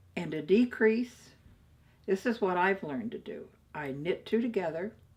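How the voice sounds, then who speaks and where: A woman with a somewhat breathy, medium-pitched voice and lively intonation is captured in a very clean recording with a silent background. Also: moderate pace, big swings in loudness. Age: old. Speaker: knitter. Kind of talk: craft tutorial to camera. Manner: upbeat, chatty.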